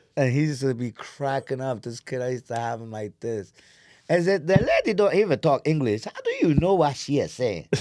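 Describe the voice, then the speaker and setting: Using lively intonation at a medium pitch, a man speaks with big swings in loudness. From New York, South Bronx. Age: 40s. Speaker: comedian. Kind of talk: casual chat. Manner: animated.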